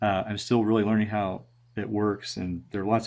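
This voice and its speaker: In a fairly low pitch, a man talks at a fairly quick pace against a quiet background. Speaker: teacher presenting at a conference. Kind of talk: recorded presentation. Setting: screen recording at computer. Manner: monotone; halting, many fillers.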